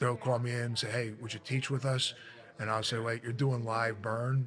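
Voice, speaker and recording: Noticeable background noise fills the recording. Over it, a man talks with monotone, flat intonation. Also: medium pitch for a man, moderate pace. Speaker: veteran firefighter and instructor. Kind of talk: casual interview chat.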